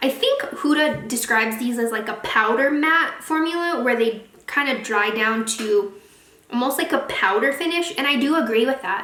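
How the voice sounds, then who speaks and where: A woman with a high pitch uses a raised, projected voice with ordinary pitch variation, heard through audible room echo and noticeable background noise. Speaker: beauty youtuber. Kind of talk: product review vlog. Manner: fast; casual, chatty.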